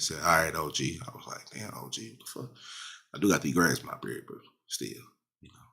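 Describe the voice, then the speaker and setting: Speaking fairly quickly, a man shows vocal fry and a bright, sharp tone, with very wide pitch swings. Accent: American. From US South, South Dallas, Texas. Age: 30s. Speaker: podcast host. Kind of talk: casual monologue. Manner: animated; repetitive, halting restarts.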